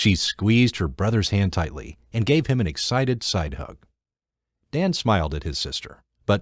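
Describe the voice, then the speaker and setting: A man talks at a fairly slow pace with vocal fry and very wide pitch swings. The recording is very clean, with a silent background. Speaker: audiobook narrator. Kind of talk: audiobook narration, non-fiction.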